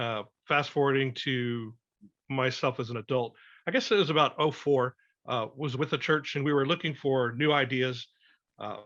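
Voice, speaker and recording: A man with an American accent at a medium pitch and moderate pace, fairly even intonation, long and frequent pauses, and a quiet background. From South Texas. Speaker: survival instructor. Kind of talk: podcast interview. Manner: hesitant, many filler words.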